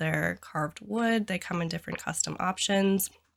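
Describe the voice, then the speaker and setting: A woman speaks in a bright, sharp tone. Her voice carries vocal fry. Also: very clean recording, silent background. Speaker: interior designer. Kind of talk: casual talk to camera.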